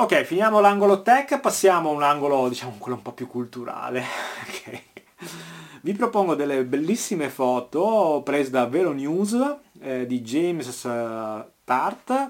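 Speaking at a fairly slow pace with long, frequent pauses, a man uses a fairly high pitch that swings very widely. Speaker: cycling podcast host. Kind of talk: news roundup monologue. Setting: garage.

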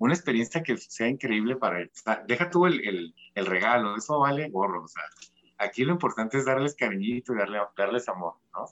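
A man speaks in a normal speaking voice at medium pitch. His pace is fairly quick and his intonation lively. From Tijuana, Mexico. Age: 40s. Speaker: fashion designer. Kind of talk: casual interview.

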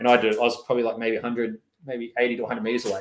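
Talking very fast, the man speaks in an Australian accent. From Australia, Lithgow and western Sydney. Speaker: army veteran and dog trainer. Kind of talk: casual interview.

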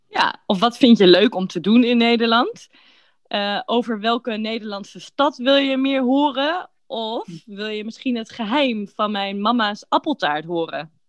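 A woman's fairly high voice, a plain, everyday voice, with lively intonation at a fairly slow pace. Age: 30s. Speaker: podcast host for Dutch learners. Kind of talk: scripted casual chat for language learners. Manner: clear, relaxed pace for learners.

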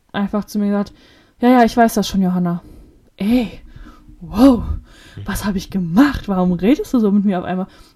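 At a moderate pace, a woman talks in a dark, mellow tone with a medium pitch. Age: 20s. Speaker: podcast co-host. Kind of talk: casual chat.

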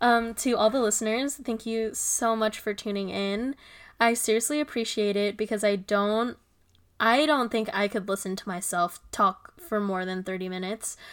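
A woman with a normal speaking voice talks at a moderate pace in a fairly high pitch, with ordinary pitch variation, on a very clean recording with a silent background. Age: 20s. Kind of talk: casual chat. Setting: home recording with laptop microphone.

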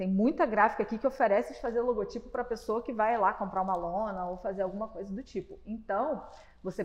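A woman speaks in a normal speaking voice, fairly high in pitch. Her pace is fairly quick, and her pitch varies in an ordinary way. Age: 20s. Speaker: podcast host. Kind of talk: casual chat.

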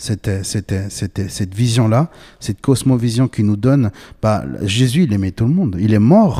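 In a dark, mellow tone, a man speaks at a moderate pace with lively intonation. The sound is dry and close with no echo, on a very clean recording with a silent background. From Bolivia. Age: 20s. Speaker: podcast host. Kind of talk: casual chat.

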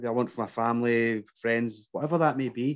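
In a Glasgow accent, a man talks at a fairly quick pace with fairly even intonation. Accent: Scottish, Glasgow. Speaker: fitness business coach. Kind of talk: casual chat.

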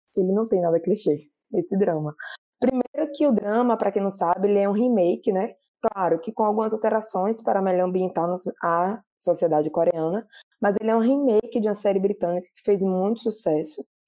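Her dark, mellow tone sitting at a medium pitch, a woman talks at a fairly quick pace with ordinary pitch variation and big swings in loudness. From Bahia, Brazil. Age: 30s. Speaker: drama reviewer, social media page owner. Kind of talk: casual chat.

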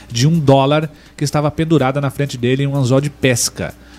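Over music in the background, a man at medium pitch speaks very fast in a monotone, flat way. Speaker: live TV show co-host. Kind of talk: casual chat. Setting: studio.

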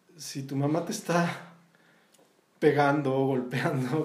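Over noticeable background noise and audible room echo, a man speaks at a fairly high pitch. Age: 40s. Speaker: visual artist and former art professor. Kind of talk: casual interview conversation.

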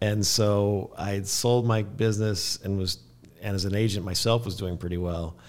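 At a moderate pace, a man speaks in an unremarkable speaking voice, fairly low in pitch with fairly even intonation. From Kansas. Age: 50s. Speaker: real estate broker. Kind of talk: interview. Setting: studio.

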